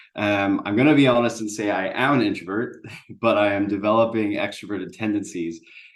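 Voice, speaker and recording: In an American accent, a man with a fairly low pitch talks at a fairly quick pace amid audible room echo. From USA. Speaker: business founder. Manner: hesitant, many fillers.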